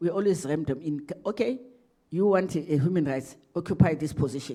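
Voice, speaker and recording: Her tone is dark and mellow. The woman speaks at a fairly quick pace with lively intonation. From South Africa. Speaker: ambassador. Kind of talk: lecture Q&A answer. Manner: loud; halting, repetitive.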